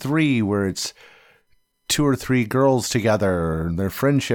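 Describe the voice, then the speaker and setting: At a fairly quick pace, a man at medium pitch uses lively intonation in an ordinary speaking voice, recorded very cleanly against a silent background. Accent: American. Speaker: podcast co-host, movie reviewer. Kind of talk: casual banter, film review podcast.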